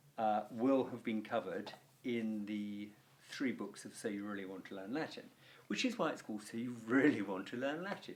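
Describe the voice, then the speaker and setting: A man with an RP accent at a fairly quick pace. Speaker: Latin teacher. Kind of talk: tutorial. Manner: animated.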